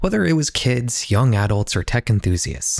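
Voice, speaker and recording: On a very clean recording with a silent background, a man talks at a fairly quick pace, somewhat breathy, with very wide pitch swings. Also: dry, close sound with no echo. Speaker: YouTube documentary creator. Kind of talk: scripted narration. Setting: home office.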